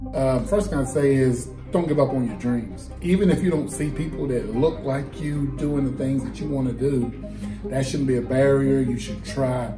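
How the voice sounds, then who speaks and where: Clear music plays behind a man who talks at a moderate pace with fairly even intonation. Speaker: teacher, coach. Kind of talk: interview answer. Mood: calm, reflective. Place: hall.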